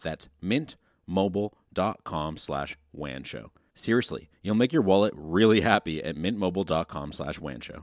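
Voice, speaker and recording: A man with a very deep, low voice and vocal fry talks at a fairly slow pace, his intonation lively and his loudness swinging widely, recorded with a dry, close sound and no echo. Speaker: sponsor reader and question reader. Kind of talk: reading sponsor spot and viewer questions.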